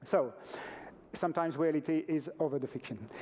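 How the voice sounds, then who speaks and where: A man speaks in a French accent at a moderate pace. His tone is dark and mellow. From France. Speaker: organic retail company representative. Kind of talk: conference presentation. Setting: stage with audience. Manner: halting.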